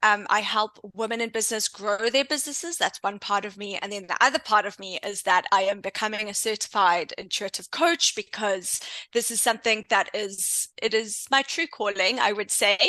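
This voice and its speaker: A woman speaks at a moderate pace with a South African accent, her pitch fairly high. Her tone is bright and sharp against a quiet background. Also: ordinary pitch variation, hardly any pauses. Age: 30s. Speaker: intuition coach and entrepreneur. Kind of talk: interview podcast.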